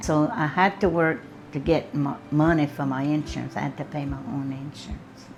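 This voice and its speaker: The speaker has a Southern US accent and moves at a moderate pace. Pitch variation is ordinary. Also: woman, very deep, low pitch for a woman. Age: 70s. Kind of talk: interview answer.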